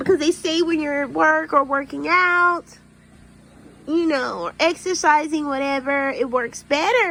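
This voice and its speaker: The voice is raised and projected, with an animated tone and ordinary pitch variation. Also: woman. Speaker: YouTuber and nurse. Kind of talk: casual vlog monologue.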